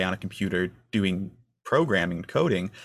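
A plain, everyday voice from a man with an American accent, fairly low in pitch with ordinary pitch variation, in a very clean recording with a silent background. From northern Michigan. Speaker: student intern interviewer. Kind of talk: interview. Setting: in-person conversation.

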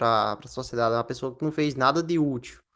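In a quiet background, a man uses a normal speaking voice, medium in pitch with ordinary pitch variation, at a moderate pace. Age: 20s. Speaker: podcast guest. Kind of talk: casual chat.

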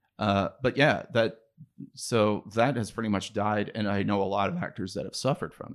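An ordinary speaking voice from a man with an American accent, fairly low in pitch, at a moderate pace with ordinary pitch variation. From Ohio. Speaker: comedian, writer and actor. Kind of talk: casual chat.

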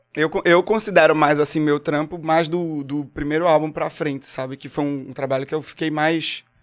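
With music in the background, a man with a Pernambuco accent and a fairly high pitch speaks at a moderate pace, using fairly even intonation and hardly any pauses. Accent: Pernambuco Brazilian Portuguese. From Pernambuco, Brazil (Agreste). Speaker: singer-songwriter. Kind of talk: casual chat. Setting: studio.

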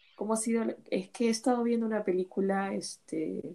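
A woman speaks with a dark, mellow tone. Her pace is fairly slow. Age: 40s. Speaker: podcast host, former bookseller. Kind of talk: casual chat.

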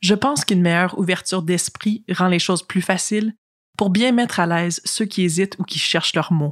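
At a fairly quick pace, a plain, everyday voice keeps very even loudness and ordinary pitch variation. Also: woman, medium pitch for a woman, very clean recording, silent background. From British Columbia, Canada. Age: young. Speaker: youth delegate. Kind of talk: testimony.

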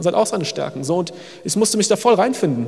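Talking very fast in a high voice, a man is heard over noticeable background noise. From Germany. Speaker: missionary. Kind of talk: sermon. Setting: church service.

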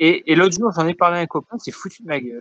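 With a dry, close sound and no echo, a man talks with ordinary pitch variation. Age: 40s. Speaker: podcast co-host. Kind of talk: casual chat. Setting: recorded over the internet.

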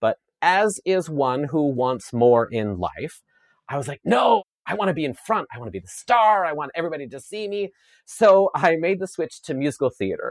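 An animated speaker with a Canadian Prairies accent talks at a moderate pace with very wide pitch swings. The recording is very clean, with a silent background and a dry, close sound with no echo. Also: man, fairly high pitch for a man. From Saskatchewan, Canada (rural). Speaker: chef and media personality, former dancer. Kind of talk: interview conversation.

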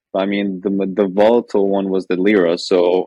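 A man speaks at a moderate pace with a fairly low pitch. His intonation is monotone and flat, and the sound is dry and close with no echo. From Lebanon. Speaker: economist and trader. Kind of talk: casual interview.

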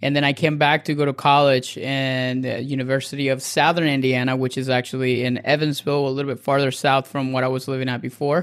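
A man with a Spanish accent and medium pitch, fairly quick and flat in delivery with hardly any pauses, on a very clean recording with a silent background. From Venezuela, Caracas. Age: 30s. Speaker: dietitian and nutrition coach. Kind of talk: casual interview.

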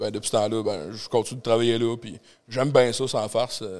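Here a man speaks at a moderate pace. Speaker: doorman and entrepreneur. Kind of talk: casual chat. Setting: studio with live audience.

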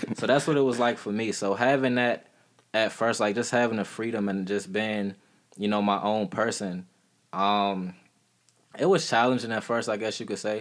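An ordinary speaking voice from a man, fairly low in pitch, with ordinary pitch variation at a moderate pace. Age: 20s. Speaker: podcast guest sharing recovery story. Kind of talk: casual chat.

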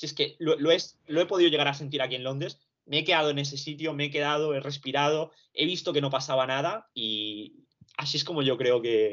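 Fairly high in pitch, a man speaks at a fairly quick pace with ordinary pitch variation. His is a plain, everyday voice. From Barcelona, Spain (born in Romania, moved at two). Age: 20s. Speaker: university student recovering from anxiety. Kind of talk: testimony.

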